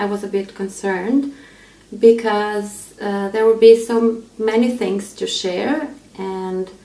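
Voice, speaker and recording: A woman with an Albanian accent speaks very slowly in a fairly high pitch, with ordinary pitch variation. Noticeable background noise sits behind her. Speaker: aspiring pastor. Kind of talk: personal testimony. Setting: self-recorded video. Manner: halting, many fillers.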